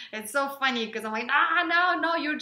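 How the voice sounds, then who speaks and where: Speaking at a moderate pace, a woman with a Ukrainian accent uses lively intonation. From Ukraine. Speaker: relationship vlogger. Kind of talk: casual chat.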